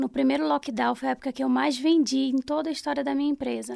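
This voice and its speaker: The sound is close and dry, free of echo. A woman talks at a fairly quick pace. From Pará, Brazil (Belém). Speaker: food business owner. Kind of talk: interview.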